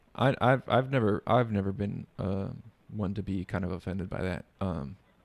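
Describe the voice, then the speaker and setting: A man talks at a moderate pace with a fairly low pitch and ordinary pitch variation. The recording is very clean, with a silent background. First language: Spanish. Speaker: podcast host. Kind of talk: casual chat.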